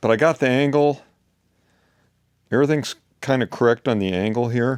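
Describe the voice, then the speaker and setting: A man talks fairly quickly at medium pitch with ordinary pitch variation, in a dry, close sound with no echo. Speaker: off-grid DIY woodworker. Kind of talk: workshop tutorial. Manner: casual, hesitant; loud.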